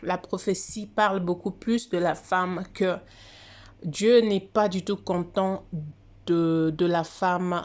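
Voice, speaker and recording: A woman of medium pitch speaks at a very slow pace, with long, frequent pauses. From DR Congo or Congo. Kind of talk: casual monologue on religious prophecy. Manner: halting, many hesitations.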